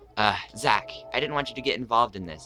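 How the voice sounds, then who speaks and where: With music playing in the background, a man speaks at medium pitch with lively intonation. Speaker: let's play gamer. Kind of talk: game commentary. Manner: fast.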